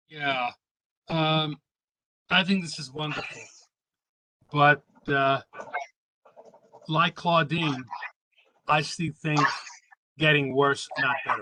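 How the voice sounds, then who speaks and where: A man speaks very slowly with long, frequent pauses and big swings in loudness. His fairly high voice keeps a fairly even intonation in a dry, close sound with no echo. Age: 70s. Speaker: community committee member. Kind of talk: public meeting comment.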